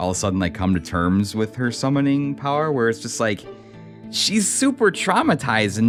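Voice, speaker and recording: With music in the background, the speech moves at a fairly quick pace with lively intonation. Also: man. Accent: American. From American Midwest.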